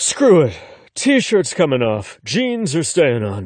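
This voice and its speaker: In a put-on character voice, a man sounds gruff and gravelly at a fairly high pitch, drawing out a very slow pace with very wide pitch swings. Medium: read story. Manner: casual, jokey.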